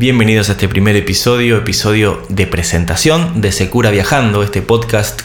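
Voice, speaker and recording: A man's fairly low voice with ordinary pitch variation at a fairly quick pace, amid audible room echo and noticeable background noise. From Argentina. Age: 30s. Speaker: travel podcaster. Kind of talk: solo podcast monologue. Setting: video recording. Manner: halting with fillers and repeated words.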